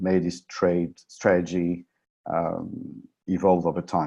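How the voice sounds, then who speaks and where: A man with a French accent and a very deep, low pitch, over a quiet background. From France. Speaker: options trading presenter. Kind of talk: webinar presentation. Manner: halting, many fillers.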